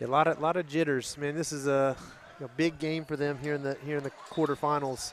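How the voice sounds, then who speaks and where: The voice carries a Texas accent and moves at a very fast pace in a monotone, flat intonation. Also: man, fairly high pitch for a man. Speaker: basketball commentator. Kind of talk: live commentary.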